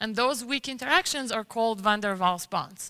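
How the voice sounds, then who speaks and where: Bright and sharp in tone, a woman speaks with a high pitch and lively intonation. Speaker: chemistry researcher. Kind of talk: science talk.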